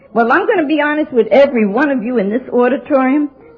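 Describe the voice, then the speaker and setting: With noticeable background noise behind her, a woman with an American accent speaks at a high pitch and a moderate pace. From New York. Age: 70s. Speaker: AA speaker. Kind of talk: testimony. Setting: stage with audience. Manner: animated.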